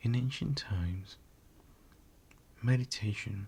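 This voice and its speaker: A whisper at a very slow pace. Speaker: ASMR creator. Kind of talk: ASMR history narration. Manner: whispered.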